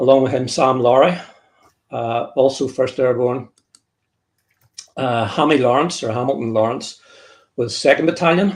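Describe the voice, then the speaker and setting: In a Northern Irish accent, a man of medium pitch speaks at a moderate pace with ordinary pitch variation and long, frequent pauses. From Northern Ireland. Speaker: author and military historian. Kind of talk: interview presentation. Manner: halting, with repeated words.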